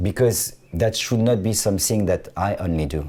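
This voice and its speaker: In a French accent, a man speaks at a fairly quick pace with a fairly low pitch and a dark, mellow, somewhat breathy tone. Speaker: fashion designer. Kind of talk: interview conversation. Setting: studio. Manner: halting, frequent restarts.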